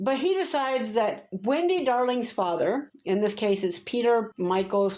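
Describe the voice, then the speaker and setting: A woman with an American accent speaks in an animated tone, her intonation lively. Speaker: booktuber. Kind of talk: casual rant review.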